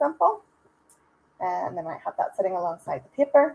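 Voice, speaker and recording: A woman speaks with lively intonation in a Northern Irish accent. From Northern Ireland. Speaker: software trainer. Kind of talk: webinar product demo. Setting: online webinar. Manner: conversational, with fillers. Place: home room. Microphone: microphone shared for webinar, may have issues.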